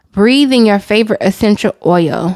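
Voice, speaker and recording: A woman's plain, everyday voice at medium pitch and moderate pace, on a very clean recording with a silent background. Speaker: tarot reader. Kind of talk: channeled tarot reading.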